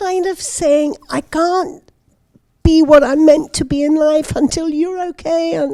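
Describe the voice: A woman's high-pitched voice with a dark, mellow tone and a British accent, at a fairly slow pace.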